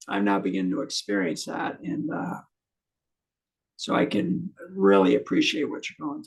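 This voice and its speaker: A man's fairly high voice with vocal fry and very wide pitch swings, at a moderate pace. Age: 60s. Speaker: channel host interviewing a fellow patient. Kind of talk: casual chat.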